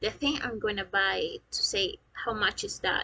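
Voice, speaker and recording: A woman speaks with a Spanish accent and a bright, sharp tone. The background is quiet. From Peru, Lima area. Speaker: vlogger, customer service agent. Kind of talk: casual vlog talk to camera. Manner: halting, many fillers.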